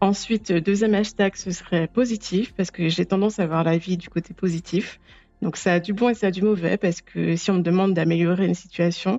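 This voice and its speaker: A woman's fairly quick speech over music in the background. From Guadeloupe, French Antilles. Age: 30s. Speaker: podcast guest. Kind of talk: personal interview testimony. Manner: hesitant, with frequent fillers.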